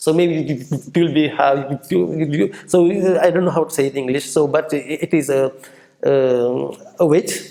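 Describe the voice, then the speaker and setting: A man's dark, mellow tone at a fairly high pitch, moderate pace and ordinary pitch variation. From Senegal. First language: French. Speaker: entrepreneur. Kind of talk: interview. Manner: halting, many repetitions and false starts.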